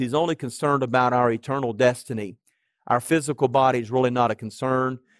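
A man's voice comes through with a dry sound, no echo and a quiet background. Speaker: pastor. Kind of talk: sermon. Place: church. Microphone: headset.

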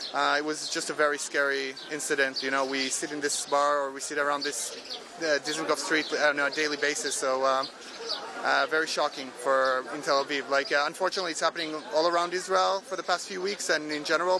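Over noticeable background noise, a man talks at a fairly quick pace with fairly even intonation and a dry sound with no echo. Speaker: witness. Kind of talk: interview answer. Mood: shaken, subdued. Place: street.

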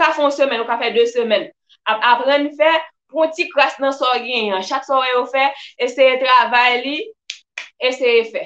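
Her pitch is high for a woman, with ordinary pitch variation. She keeps to a moderate pace. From Haiti. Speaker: personal development vlogger. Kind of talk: live-stream talk. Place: home room. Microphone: webcam.

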